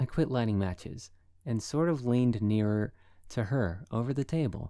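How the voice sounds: The reading voice is natural, and its pitch shifts in an ordinary way.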